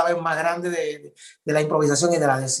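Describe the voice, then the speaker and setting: The man's high-pitched voice keeps a fairly even intonation. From Cuba. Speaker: improvising poet and author. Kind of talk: interview answer.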